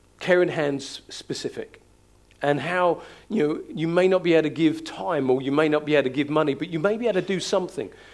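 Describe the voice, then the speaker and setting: A plain, everyday voice belongs to a man with a fairly high pitch who speaks at a moderate pace with ordinary pitch variation. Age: 50s. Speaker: pastor. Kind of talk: sermon.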